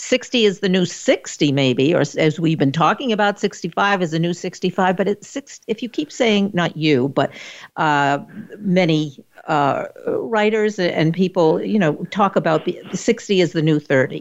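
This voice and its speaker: In a normal speaking voice, a woman talks at a fairly slow pace with a fairly low pitch and lively intonation. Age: 60s. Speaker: talk show host and social worker. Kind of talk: interview.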